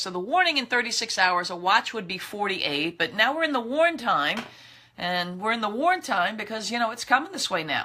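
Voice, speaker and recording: A woman with an American accent, fairly high-pitched and bright, sharp in tone, at a moderate pace with very wide pitch swings. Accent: thick New York accent when tired. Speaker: meteorologist. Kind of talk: weather briefing. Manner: casual, conversational.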